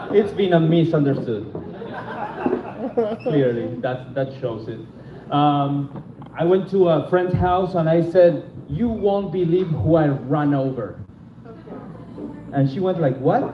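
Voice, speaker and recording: Very slow speech in a non-native accent, lively in intonation, with long, frequent pauses, audible room echo and noticeable background noise. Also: man, fairly high pitch for a man. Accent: foreign. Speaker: stand-up comedian. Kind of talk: stand-up. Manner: halting.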